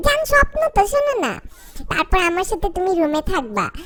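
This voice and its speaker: A woman's squeaky, put-on character voice at an extremely high pitch, with very wide pitch swings, a moderate pace and light background noise. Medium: voice reel.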